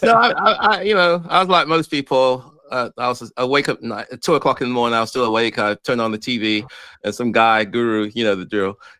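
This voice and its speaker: A man talks at a very fast pace in an English accent. His tone is bright and sharp, with lively intonation. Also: medium pitch for a man. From England, born in Ghana. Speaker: real estate investor. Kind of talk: interview. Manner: hesitant, many fillers.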